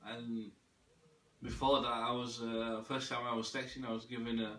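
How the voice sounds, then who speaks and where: With monotone, flat intonation at medium pitch, a man is heard over noticeable background noise and audible room echo. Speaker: religious video maker, self-described imam. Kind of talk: personal monologue to camera. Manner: fast; halting, repetitive.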